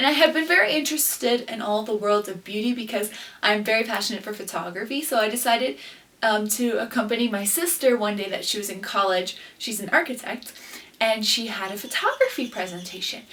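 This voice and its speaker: With noticeable background noise around her, a woman talks at a fairly quick pace, her fairly high pitch showing ordinary variation. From Guatemala, Quetzaltenango. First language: Spanish. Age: 20s. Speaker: beauty pageant queen and vlogger. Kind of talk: casual vlog talk to camera.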